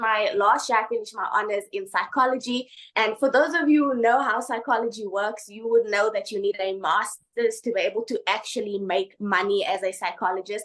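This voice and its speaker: A woman's fairly high, animated voice at a fairly quick pace, with ordinary pitch variation. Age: 20s. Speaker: online business testimonial speaker. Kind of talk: testimony.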